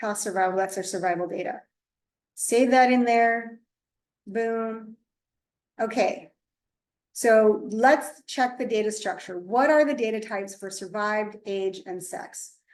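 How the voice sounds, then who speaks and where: At a fairly slow pace, a woman speaks with a fairly high pitch and ordinary pitch variation, leaving long, frequent pauses. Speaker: statistics instructor. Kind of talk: tutorial.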